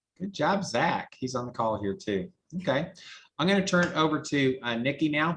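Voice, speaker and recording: Lively intonation from a man in a Southern US accent at a moderate pace. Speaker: team meeting host. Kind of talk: casual chat.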